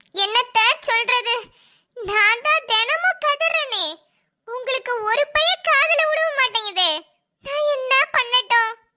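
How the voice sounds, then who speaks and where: A female-sounding cartoonish character voice speaks at a very slow pace with an extremely high pitch. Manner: rural colloquial Tamil, complaining.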